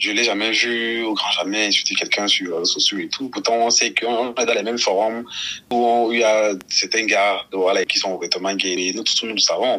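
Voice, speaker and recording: Noticeable background noise sits under a man's voice. He speaks at medium pitch and a moderate pace with fairly even intonation. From Cameroon. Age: 30s. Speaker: NGO outreach worker. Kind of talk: interview testimony.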